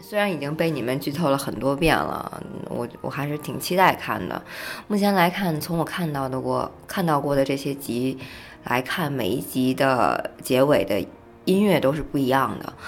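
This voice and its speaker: With a slight northeastern Chinese accent, a woman speaks at a moderate pace in a very deep, low voice with lively intonation over noticeable background noise. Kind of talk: casual chat. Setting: studio.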